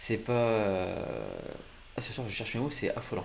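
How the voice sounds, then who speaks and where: This man's voice sits at a fairly low pitch. Audible room echo surrounds it. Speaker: gaming streamer. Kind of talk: live gameplay commentary. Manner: poor articulation, stumbling; animated.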